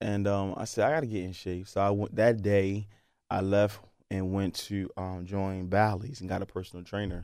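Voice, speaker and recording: A man with a plain, everyday voice and fairly low pitch speaks at a moderate pace on a very clean recording with a silent background. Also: fairly even intonation. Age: 30s. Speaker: bodybuilder and health science professor. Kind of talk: casual interview. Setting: studio.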